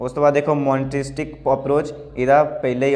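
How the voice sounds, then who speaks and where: Over music in the background, the speech comes in a flat monotone. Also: man. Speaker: teacher. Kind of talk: tutorial. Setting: indoor room. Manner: casual, halting with self-corrections. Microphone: echoey room sound.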